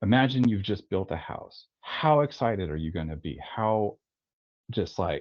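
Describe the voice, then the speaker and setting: At a moderate pace, a man with a fairly low pitch speaks with lively intonation. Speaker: tattoo artist and studio owner. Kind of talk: webinar interview. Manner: rambling with false starts.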